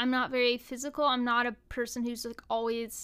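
On a very clean recording with a silent background, a woman speaks at a high pitch. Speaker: online show co-founder. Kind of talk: casual interview chat. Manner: animated, joking.

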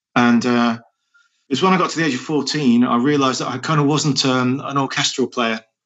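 A man with an East Midlands accent, medium-pitched and fairly even in intonation. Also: fairly quick pace. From English Midlands, Nottingham. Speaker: rock band singer. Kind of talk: interview conversation. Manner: hesitant, many fillers and repetitions.

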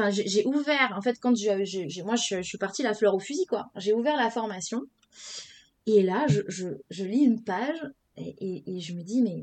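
In a plain, everyday voice, the speaker uses lively intonation. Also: woman. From Senegal. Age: 30s. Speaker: entrepreneur. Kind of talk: casual interview.

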